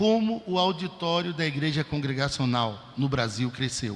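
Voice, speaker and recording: Audible room echo surrounds a man's fairly high voice. His intonation is lively. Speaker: preacher. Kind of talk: sermon.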